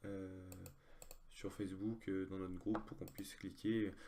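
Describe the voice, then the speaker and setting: Its intonation holds fairly even. The tone is dark and mellow. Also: man. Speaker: online poker player. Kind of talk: live gameplay commentary. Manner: halting, many fillers.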